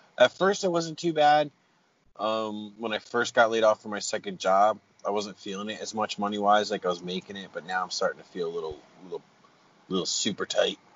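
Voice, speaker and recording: Speaking in a normal speaking voice, a man talks at a fairly quick pace with a fairly low pitch, lively intonation and big swings in loudness. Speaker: podcast co-host. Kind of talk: casual chat. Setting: in a car.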